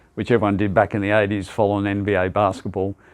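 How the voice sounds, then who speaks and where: Quiet background behind a man with an Australian accent. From Australia, Sydney (Sutherland Shire). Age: 70s. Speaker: basketball club founder. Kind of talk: interview. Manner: hesitant, many fillers.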